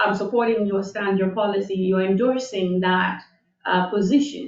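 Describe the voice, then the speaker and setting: A woman speaks with a non-native accent. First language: not English. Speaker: board staff member presenting rules. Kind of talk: public board meeting. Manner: halting, many fillers.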